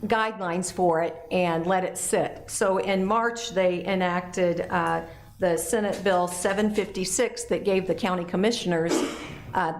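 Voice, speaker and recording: Over noticeable background noise and audible room echo, a woman at a medium pitch speaks at a fairly slow pace with fairly even intonation and very even loudness. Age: 60s. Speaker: city council member. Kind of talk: council meeting report. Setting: council chamber meeting.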